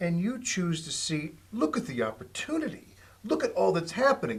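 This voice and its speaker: Bright and sharp in tone, a man speaks at a high pitch and moderate pace with very wide pitch swings. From northeast Indiana, near Fort Wayne. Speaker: TV talk show co-host. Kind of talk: talk show interview.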